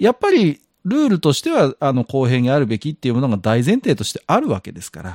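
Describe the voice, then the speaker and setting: Recorded very cleanly against a silent background with a dry, close sound and no echo, a man speaks fairly quickly at a medium pitch, his pitch swinging very widely. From outside Kansai, Japan. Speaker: podcast co-host. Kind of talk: casual chat.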